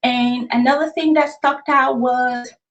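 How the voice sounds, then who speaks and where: A woman speaks at a high pitch. Her pace is fairly slow, with ordinary pitch variation. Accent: Nigerian. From Nigeria, raised in US. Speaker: author. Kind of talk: interview. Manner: conversational.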